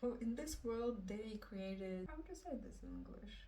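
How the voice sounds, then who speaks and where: A woman's somewhat breathy, dark, mellow voice in a Russian accent, fairly slow with lively intonation, in a room with audible echo. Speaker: book reviewer. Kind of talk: casual book review. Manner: halting, with fillers.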